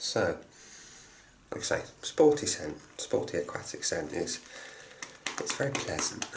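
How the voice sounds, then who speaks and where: Quiet and fairly slow, a man talks with long, frequent pauses over noticeable background noise. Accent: English. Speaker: shaving product reviewer. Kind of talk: product review tutorial.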